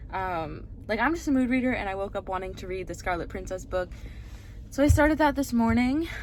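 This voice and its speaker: Speaking in a normal speaking voice, a woman at a medium pitch talks fairly quickly with lively intonation. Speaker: booktuber, bookstore worker. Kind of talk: casual vlog. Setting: in a car.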